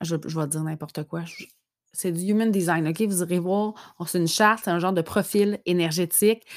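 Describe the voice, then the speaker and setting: A woman with a Quebec accent speaks at a fairly low pitch with fairly even intonation. The sound is dry and close with no echo, on a very clean recording with a silent background. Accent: Québécois French. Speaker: podcaster mom. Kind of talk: personal reflection monologue. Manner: hesitant, many fillers.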